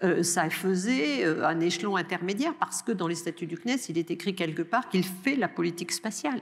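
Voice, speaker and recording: A woman's fairly low, lively voice at a moderate pace with hardly any pauses, set against noticeable background noise. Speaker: research director and lecturer on space policy. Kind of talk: answering questions after a lecture. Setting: lecture hall with audience. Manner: hesitant, with many fillers.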